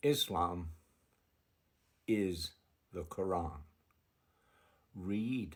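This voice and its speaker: A man talks with an American accent and lively intonation. His voice is somewhat breathy. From United States. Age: 70s. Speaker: religious video creator, convert to Islam. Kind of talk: personal testimony monologue. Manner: halting, repetitive.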